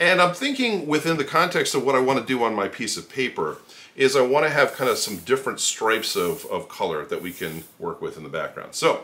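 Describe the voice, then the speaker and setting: Speaking at a fairly quick pace, a man talks with hardly any pauses. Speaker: art instructor. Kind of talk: tutorial. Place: home room.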